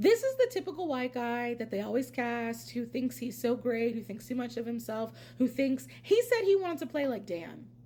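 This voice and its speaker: Noticeable background noise sits behind a woman with an American accent. Her tone is animated, and she talks at a fairly quick pace. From Pennsylvania. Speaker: reality TV commentator, YouTuber. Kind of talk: casual vlog commentary. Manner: loud.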